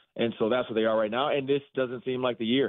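A man speaks with a normal speaking voice at a medium pitch. His intonation stays fairly even. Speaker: sports media host, former football player. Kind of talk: sports radio interview.

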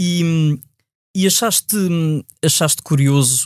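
In a very clean recording with a silent background, a man's voice has a dry, close sound with no echo and ordinary pitch variation. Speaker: podcast host and motoring journalist. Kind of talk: casual interview.

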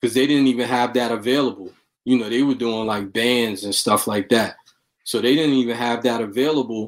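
Speaking with a Brooklyn accent, a man keeps a fairly quick pace. His pitch is medium and his intonation fairly even. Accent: New York, Brooklyn. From New York City, Brooklyn. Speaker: rapper and music producer. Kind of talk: interview.

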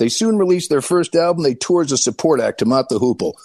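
With an ordinary speaking voice, a man talks at a fairly quick pace with ordinary pitch variation, the sound dry and close with no echo. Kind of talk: radio ad read and DJ patter.

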